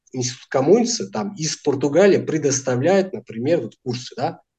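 A man with a somewhat breathy, fairly high voice speaks with lively intonation. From France, Portuguese immigrant family. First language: Portuguese and French (speaking Russian). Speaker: language teacher. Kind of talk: interview.

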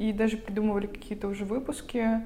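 Somewhat breathy and dark, mellow in tone, a woman speaks in a fairly high pitch with audible room echo. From Russia, Vologda. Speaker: podcast co-host, university student. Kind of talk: casual chat.

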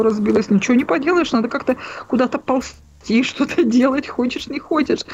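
The voice belongs to a woman. Ordinary pitch variation marks her speech. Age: 40s. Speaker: caller. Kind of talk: phone-in conversation. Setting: phone call. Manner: halting.

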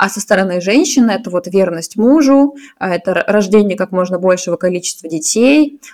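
An unremarkable speaking voice from a woman, medium in pitch, at a moderate pace with lively intonation. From Russia, St Petersburg. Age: 20s. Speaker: podcast co-host. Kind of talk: casual chat.

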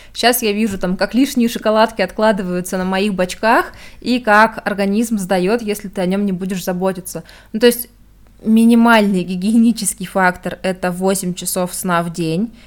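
The intonation is fairly even throughout. It is a normal speaking voice, moving at a moderate pace. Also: woman, medium pitch for a woman. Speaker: podcast host. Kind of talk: casual chat.

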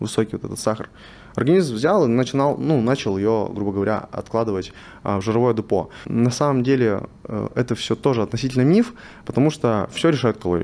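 A plain, everyday voice belongs to this man, who speaks at medium pitch and a moderate pace with ordinary pitch variation. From Russian Far East, Vladivostok. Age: 20s. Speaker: biohacking and nutrition specialist. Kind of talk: interview. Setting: studio.

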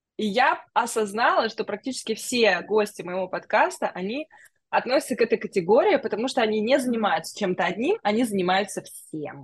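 Somewhat breathy and at a fairly quick pace, a woman talks with lively intonation. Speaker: podcast host. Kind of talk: casual interview chat. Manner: warm, friendly, effusive.

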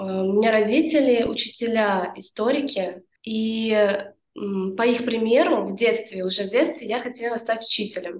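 A woman speaks in a plain, everyday voice at a fairly slow pace, her fairly high pitch rising and falling in an ordinary way. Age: 20s. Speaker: yoga teacher. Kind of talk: casual interview chat.

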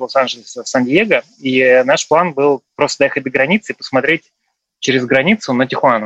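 A plain, everyday voice: a man at medium pitch, talking at a fairly quick pace. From Russia. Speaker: returned emigrant. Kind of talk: casual interview.

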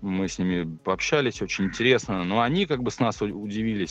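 With a normal speaking voice, a man delivers his words rather briskly in a mid-range register, his pitch shifting by usual amounts. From Russia, Tver. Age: 30s. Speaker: motorcycle traveler, trampoline gym owner. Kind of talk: casual interview.

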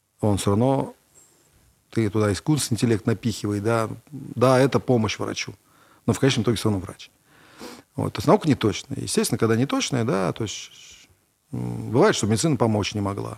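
The speech moves at a fairly quick pace with vocal fry and ordinary pitch variation, broken by long, frequent pauses. The recording is very clean, with a silent background. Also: man, medium pitch for a man. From Russia, Kovrov. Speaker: entrepreneur. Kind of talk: interview.

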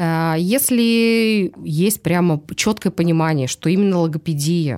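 A woman with a plain, everyday voice, fairly low in pitch, with ordinary pitch variation, on a very clean recording with a silent background. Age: 40s. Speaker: speech therapist. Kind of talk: casual chat.

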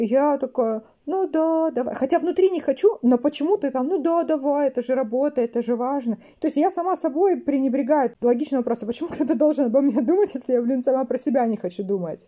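At a very fast pace, a woman talks in a high pitch with a dark, mellow tone. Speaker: training project manager. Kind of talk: interview.

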